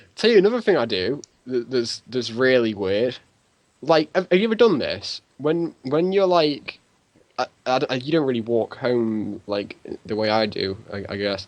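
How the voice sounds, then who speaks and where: This man talks at a moderate pace, his pitch swinging very widely. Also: medium pitch for a man. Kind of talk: casual chat. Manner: loud; halting.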